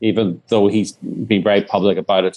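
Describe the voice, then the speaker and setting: A man is speaking. He talks with an Irish accent. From Northern Ireland. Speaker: documentary filmmaker. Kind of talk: interview.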